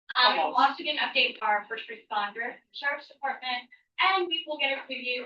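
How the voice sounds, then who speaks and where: A high-pitched woman talks at a moderate pace with lively intonation. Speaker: town council meeting chair. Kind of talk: meeting chairing. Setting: town council meeting. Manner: loud. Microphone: microphone battery problem.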